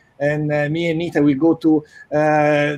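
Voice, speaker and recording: At a very slow pace, a man speaks with an Italian accent. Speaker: magazine co-founder and director. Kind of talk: casual chat.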